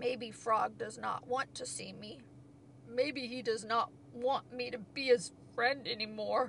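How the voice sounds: A woman puts on a character voice with a fairly high pitch, a fairly bright tone and vocal fry, speaking at a slow pace with fairly even intonation.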